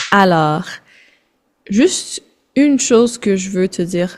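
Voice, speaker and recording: Speaking in a Quebec French accent, a woman talks at a fairly slow pace and a medium pitch with ordinary pitch variation. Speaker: French tutor. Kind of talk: casual language lesson. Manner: code-switching French and English.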